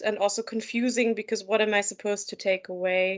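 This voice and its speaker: A plain, everyday voice speaks at a fairly quick pace with fairly even intonation. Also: woman. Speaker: mental health supervisor. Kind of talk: interview.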